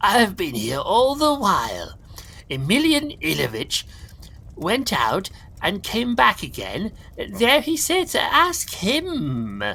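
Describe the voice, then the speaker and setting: A man uses a put-on character voice at an extremely high pitch. He talks at a very slow pace over light background noise. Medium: read story.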